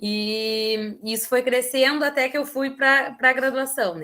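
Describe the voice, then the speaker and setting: The woman's voice has a bright, sharp tone. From southern Brazil, Rio Grande do Sul (São José do Norte). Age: 20s. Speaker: literature student. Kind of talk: online talk at a reading circle.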